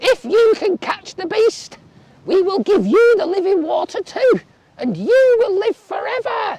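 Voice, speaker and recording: This put-on character voice moves at a moderate pace with lively intonation. The sound is dry and close, with no echo. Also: woman, extremely high pitch for a woman. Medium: read story. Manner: several voices speaking together.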